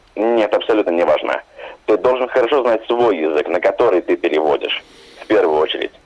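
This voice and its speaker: A man talks at a fairly quick pace with very even loudness. There is noticeable background noise. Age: young. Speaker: translator and dubbing director. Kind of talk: radio interview. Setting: phone call.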